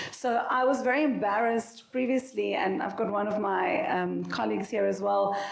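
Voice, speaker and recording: A woman at a moderate pace with very even loudness and hardly any pauses, over noticeable background noise and audible room echo. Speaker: startup founder and CEO. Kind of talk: panel discussion.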